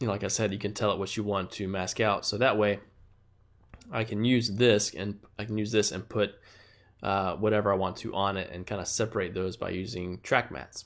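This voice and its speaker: The recording is very clean, with a silent background. A man talks at a fairly quick pace with fairly even intonation. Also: fairly low pitch for a man. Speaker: designer and motion graphics artist. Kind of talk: tutorial. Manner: fast; halting, many fillers.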